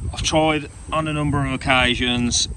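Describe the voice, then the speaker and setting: A man's voice sounds dry with no echo while loud background noise fills the recording. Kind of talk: tutorial. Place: street. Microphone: phone near.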